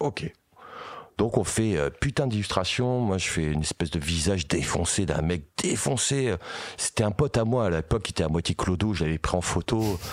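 A man's very deep, low voice at a moderate pace with lively intonation. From Paris region. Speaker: metal singer and illustrator. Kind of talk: casual chat.

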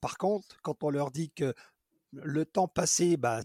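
A man talks at a very slow pace with ordinary pitch variation. The sound is dry and close with no echo, on a very clean recording with a silent background. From France, Dijon. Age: 50s. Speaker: special effects artisan. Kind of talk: interview. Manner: hesitant with frequent repetitions.

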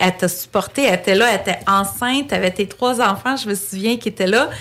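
A woman speaks at a fairly quick pace with medium pitch and ordinary pitch variation in an unremarkable speaking voice. The recording is very clean, with a silent background. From Quebec, Greek family. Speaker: real estate agency director. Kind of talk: interview.

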